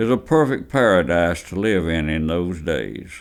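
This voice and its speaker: A man with a Southern US accent, lively intonation and a fairly slow pace. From Alabama. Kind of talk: oral history interview answer.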